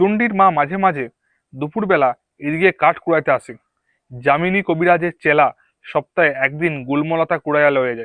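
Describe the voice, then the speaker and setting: An unremarkable speaking voice with ordinary pitch variation comes through in a dry, close sound with no echo. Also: man. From West Bengal, Purba Bardhaman. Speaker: YouTuber reading a novel aloud. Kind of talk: reading aloud. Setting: outdoors among green bushes.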